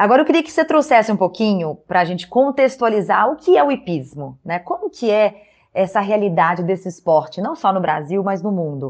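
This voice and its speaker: Her pitch is medium and swings very widely. This woman talks at a fairly quick pace with hardly any pauses. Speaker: podcast host. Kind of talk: interview.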